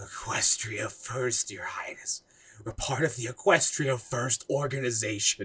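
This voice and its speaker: At a fairly slow pace, a man speaks in a put-on character voice. His pitch is medium. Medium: read story. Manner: stammering.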